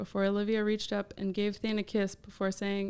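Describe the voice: Text read aloud in a plain way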